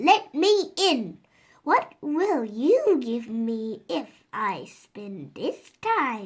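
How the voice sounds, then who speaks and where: In a put-on character voice, a woman speaks at a very slow pace with a high pitch and very wide pitch swings. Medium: read story. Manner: bold, sly.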